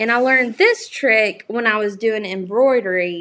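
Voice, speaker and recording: Lively intonation and a fairly slow pace, with a Southern US accent. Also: woman. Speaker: crafting YouTuber. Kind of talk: live crafting tutorial. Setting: livestream. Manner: casual, chatty.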